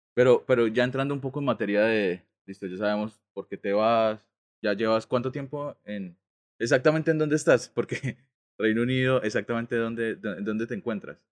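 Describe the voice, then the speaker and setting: A man with a normal speaking voice talks at a medium pitch and moderate pace with ordinary pitch variation, in a dry, close sound with no echo. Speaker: podcast co-host, architect. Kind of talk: casual chat.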